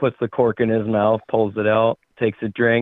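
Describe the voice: Plain reading aloud, with the surroundings quiet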